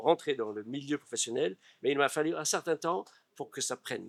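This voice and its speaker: The man talks at a moderate pace with ordinary pitch variation. The sound is dry and close, with no echo. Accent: English. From California, US. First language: English (speaking French). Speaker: actor and stage director. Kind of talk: interview. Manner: halting.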